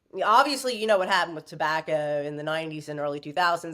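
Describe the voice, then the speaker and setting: A woman speaks with a Southern US accent. Her tone is animated. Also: very clean recording, silent background. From US South, Virginia. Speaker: author and former stripper. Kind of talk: podcast interview, personal storytelling.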